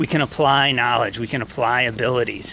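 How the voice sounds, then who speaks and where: This man talks with a New York accent. Noticeable noise runs in the background. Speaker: chemistry professor. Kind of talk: walking video welcome message to students. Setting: outdoors walking on campus. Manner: fast.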